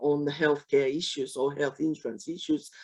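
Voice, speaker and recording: In a quiet background, a woman with a Japanese accent speaks at a very deep, low pitch. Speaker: webinar moderator, social protection specialist. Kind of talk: panel discussion. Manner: halting, many fillers.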